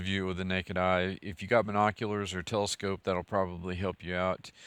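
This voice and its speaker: A flat, monotone voice with a West Texas accent, dry and close with no echo, in a very clean recording against a silent background. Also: man. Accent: West Texas drawl. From West Texas (Merkel). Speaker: scholar and channel host. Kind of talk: casual video update. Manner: halting, many fillers and repetitions.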